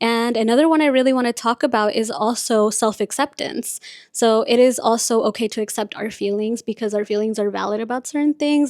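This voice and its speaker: A woman talks fairly quickly at a fairly high pitch in a very clean recording with a silent background. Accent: Spanish. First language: Spanish. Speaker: podcast host and content creator. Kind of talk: casual chat. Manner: chatty.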